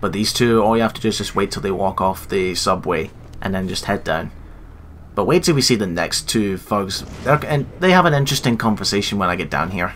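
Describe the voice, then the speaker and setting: A man talks at a fairly quick pace with a fairly low pitch and ordinary pitch variation. His is an ordinary speaking voice. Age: 20s. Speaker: gaming YouTuber. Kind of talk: let's play commentary.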